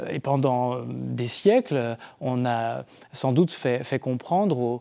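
The recording is very clean, with a silent background. A man speaks in a dark, mellow tone with ordinary pitch variation. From Brittany, France. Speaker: Dominican friar and theologian. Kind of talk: TV book discussion. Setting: TV set in a bookshop.

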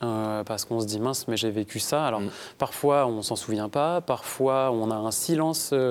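A man's medium-pitched voice with ordinary pitch variation at a moderate pace. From France, Vendée. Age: 30s. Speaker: author and abuse survivor. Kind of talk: interview testimony. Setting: studio. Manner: halting.

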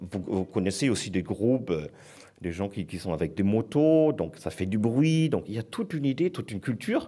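A man talks at a moderate pace with very wide pitch swings, on a very clean recording with a silent background. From southern Germany. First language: German (speaking French). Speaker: foundation director. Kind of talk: panel talk.

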